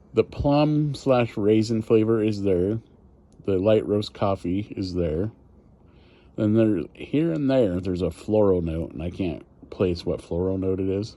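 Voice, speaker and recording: A man talks at a fairly slow pace in a dark, mellow tone. His pitch sits fairly low with ordinary variation. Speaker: cigar reviewer. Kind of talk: casual cigar review monologue. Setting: outdoors. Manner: halting, stumbling over words.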